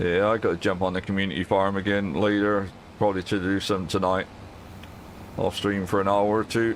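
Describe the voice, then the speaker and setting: A man speaks at a fairly quick pace in monotone, flat intonation with very even loudness. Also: fairly low pitch for a man. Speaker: gaming streamer. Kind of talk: live gameplay stream chat.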